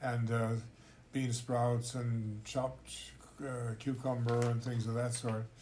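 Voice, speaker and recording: At a very slow pace, a man speaks with a medium pitch, monotone, flat intonation, very even loudness and a somewhat breathy, dark, mellow tone. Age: 80s+. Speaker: intercultural trainer. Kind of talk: casual chat. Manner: halting.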